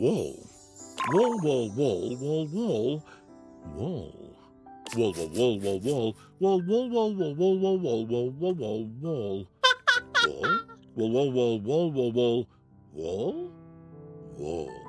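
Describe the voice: Over clear background music, a man in a put-on character voice speaks very slowly at a fairly high pitch, with long, frequent pauses.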